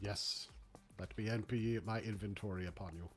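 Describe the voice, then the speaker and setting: In a put-on character voice, a man speaks at a fairly low pitch and a moderate pace. Background noise is clear. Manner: sinister, theatrical.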